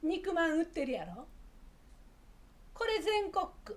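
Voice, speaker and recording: With an Osaka accent, a woman talks at an extremely high pitch with ordinary pitch variation. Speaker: Japanese dialect teacher. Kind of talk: casual talk to camera, language lesson.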